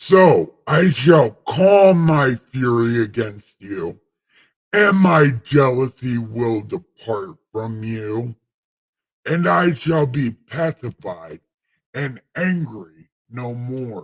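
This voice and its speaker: A man speaks in a put-on character voice at a very slow pace. His pitch sits in the medium range. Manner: solemn, booming.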